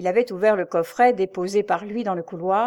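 Reading aloud in a natural voice, the speaker lets pitch vary in ordinary fashion.

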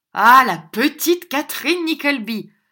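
Loud and high-pitched, a woman uses a put-on character voice with a bright, sharp tone, lively intonation and a fairly slow pace on a very clean recording with a silent background.

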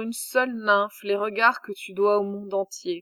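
Very slow and fairly even in intonation, a woman's fairly high voice comes across dry and close with no echo. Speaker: audiobook narrator. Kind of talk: reading aloud, audiobook narration of mythological epic. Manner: measured, formal, dramatic storytelling.

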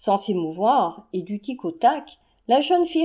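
A woman's dark, mellow voice at a very slow pace against a quiet background. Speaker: audiobook narrator. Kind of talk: literary audiobook reading, humorous 19th-century story. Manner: lively, expressive, formal diction.

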